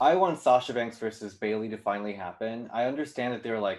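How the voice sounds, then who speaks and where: A man with a Korean accent. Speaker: YouTube series creator and video producer.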